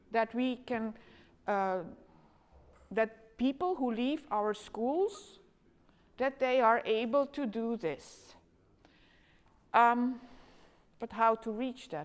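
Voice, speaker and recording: A woman's fairly high voice in a Flemish accent, very slow in pace, with lively intonation. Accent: Flemish Dutch accent in English. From Flanders, Belgium. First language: Dutch. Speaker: education lecturer. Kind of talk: conference talk. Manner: halting, many fillers.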